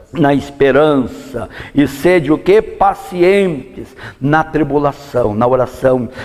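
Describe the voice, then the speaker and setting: Over noticeable background noise, a man talks at a very slow pace and very even loudness, his fairly high pitch showing ordinary variation. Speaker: pastor teaching Bible study. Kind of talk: sermon. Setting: church. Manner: animated.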